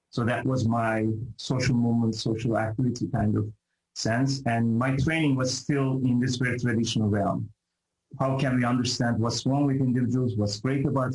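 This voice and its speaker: Speaking at a fairly quick pace with a Turkish accent, a man has a medium pitch, a somewhat breathy voice and fairly even intonation. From Turkey. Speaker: professor. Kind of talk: interview. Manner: halting.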